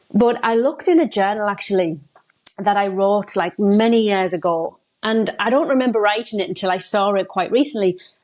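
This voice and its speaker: In a northeast English accent, the speech runs at a fairly quick pace with ordinary pitch variation and very even loudness. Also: woman, medium pitch for a woman. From northeast England. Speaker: success coach. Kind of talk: podcast interview. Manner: casual, hesitant.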